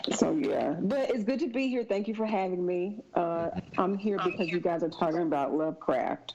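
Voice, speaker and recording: Against noticeable background noise, a woman with a Southern accent talks at medium pitch with lively intonation and very even loudness. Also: moderate pace. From US South, Mississippi. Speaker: podcast guest. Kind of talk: casual chat.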